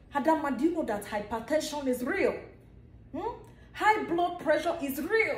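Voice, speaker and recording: Room echo is audible around a woman's voice. She speaks high in pitch at a moderate pace. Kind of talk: comedic skit monologue. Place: home room. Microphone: phone near.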